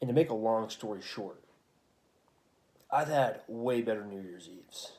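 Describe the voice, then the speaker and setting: Quiet and dark, mellow in tone, a man talks at a moderate pace with ordinary pitch variation. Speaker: vlogger. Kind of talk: casual chat. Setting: at home at night. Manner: hushed.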